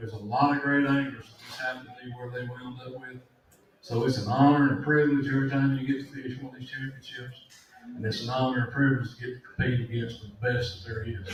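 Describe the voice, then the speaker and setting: A man's medium-pitched voice at a very fast pace, flat and monotone, with big swings in loudness, audible room echo and noticeable background noise. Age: 60s. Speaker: professional angler. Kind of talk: panel discussion.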